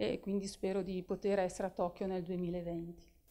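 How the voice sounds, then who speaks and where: A woman speaks with a dark, mellow tone. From Italy. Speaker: sports federation presidential candidate; candidate. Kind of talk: interview. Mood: calm, warm, sincere. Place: office. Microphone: handheld.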